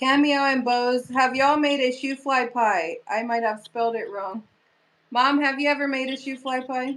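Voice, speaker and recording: On a very clean recording with a silent background, a woman with a high pitch and ordinary pitch variation talks at a moderate pace. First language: Pennsylvania Dutch. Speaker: YouTuber. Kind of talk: live stream chat reading comments.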